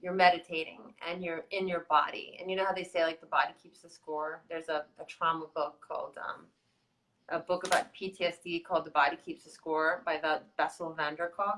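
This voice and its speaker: A woman talks at a fairly quick pace in a fairly low pitch, her tone bright and sharp, with big swings in loudness. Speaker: video blogger. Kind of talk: casual chat. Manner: fast; animated.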